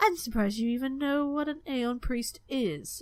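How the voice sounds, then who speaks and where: A woman's put-on character voice, high-pitched, gruff and growling, with lively intonation at a moderate pace. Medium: solo performance. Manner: gruff, growling.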